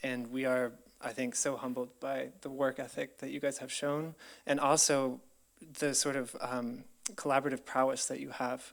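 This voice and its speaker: A man's medium-pitched voice with an American accent and flat, monotone intonation. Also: moderate pace. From US, Colorado. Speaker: researcher. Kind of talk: presentation. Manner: hesitant with many fillers.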